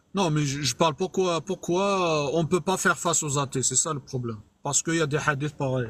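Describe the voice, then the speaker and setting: The man's pitch is fairly high, with ordinary variation. He speaks at a fairly quick pace. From Algeria. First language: Arabic (speaking French). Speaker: live streamer, religious debater. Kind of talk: heated debate. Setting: online live stream. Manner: halting.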